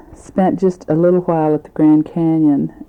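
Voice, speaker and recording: A woman talks with a very deep, low pitch. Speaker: family member recording a tape for grandparents. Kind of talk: recorded family letter on tape. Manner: conversational with fillers.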